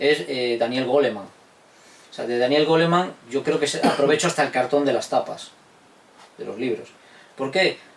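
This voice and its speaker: A man speaks at a moderate pace, fairly high in pitch, with ordinary pitch variation and long, frequent pauses. Noticeable background noise runs underneath. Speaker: historian and teacher. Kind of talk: interview answer.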